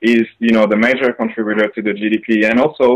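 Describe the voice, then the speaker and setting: In a medium pitch, a man speaks with a monotone, flat intonation. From France, raised in Africa. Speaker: business coach. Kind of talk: interview. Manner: hesitant with many fillers.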